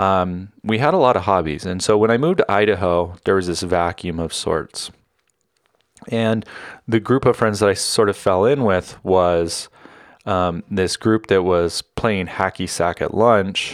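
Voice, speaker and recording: This is an ordinary speaking voice with an American accent, moving at a fairly slow pace. The recording is very clean, with a silent background. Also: man, fairly low pitch for a man, ordinary pitch variation. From Northern California. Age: 40s. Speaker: solo podcaster. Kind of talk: casual personal monologue.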